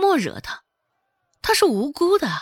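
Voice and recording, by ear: A put-on character voice moves through big pitch swings at a fairly slow pace. The recording is very clean, with a silent background and a dry, close sound with no echo. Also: woman, extremely high pitch for a woman.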